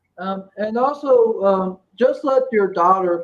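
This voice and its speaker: A man speaks at a fairly slow pace. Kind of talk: live stream panel chat. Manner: halting, repeats words.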